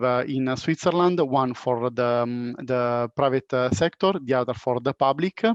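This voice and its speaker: In a normal speaking voice, a man talks at a moderate pace. His pitch is fairly high, with ordinary variation. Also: dry, close sound with no echo. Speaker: panel moderator. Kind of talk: panel discussion.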